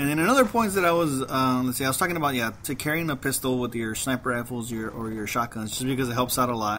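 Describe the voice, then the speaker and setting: Someone talks at a very fast clip. There is noticeable noise in the background. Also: man. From Mexican heritage. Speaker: gaming commentator. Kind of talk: gameplay commentary. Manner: halting, repeats words.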